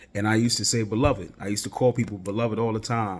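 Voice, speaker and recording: A man is speaking. His voice sits at a fairly low pitch. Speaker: podcast host. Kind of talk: casual solo podcast monologue. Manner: halting, self-correcting.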